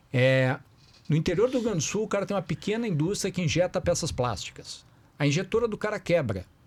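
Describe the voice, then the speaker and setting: A man at a very fast pace with a high pitch, lively intonation and a southern Brazilian accent. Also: very clean recording, silent background. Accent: Porto Alegre (gaúcho). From southern Brazil, Porto Alegre. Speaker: company founder. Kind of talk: podcast panel discussion. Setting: live stream. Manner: conversational, frequent 'certo?' fillers.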